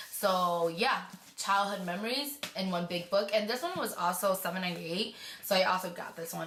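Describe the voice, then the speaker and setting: Audible room echo surrounds a woman speaking at a moderate pace with a medium pitch. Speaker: beauty vlogger. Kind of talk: casual vlog.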